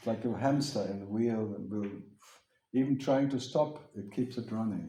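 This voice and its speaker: Audible room echo surrounds a man of medium pitch who speaks at a moderate pace with a dark, mellow tone and ordinary pitch variation. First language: German. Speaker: spiritual teacher. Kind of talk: question-and-answer talk with audience.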